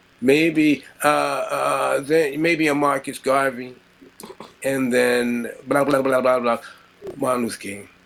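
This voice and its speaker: A man with an American accent speaks at a very slow pace, at medium pitch and with fairly even intonation, over noticeable background noise. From United States. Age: 50s. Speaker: bassist. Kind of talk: interview.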